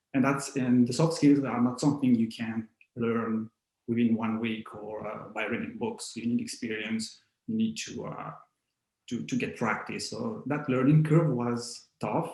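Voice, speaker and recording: Speaking fairly slowly with a non-native accent, a man uses a medium pitch and ordinary pitch variation. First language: not English. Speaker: IT consulting architect. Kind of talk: interview. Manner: halting, many repetitions.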